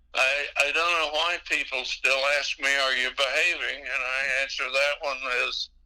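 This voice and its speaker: A man speaks at a moderate pace with a fairly high pitch. His tone is bright and sharp, his intonation monotone and flat. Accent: slight Texas. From Texas. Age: 80s+. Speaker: radio DJ. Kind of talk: interview. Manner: hesitant, many fillers.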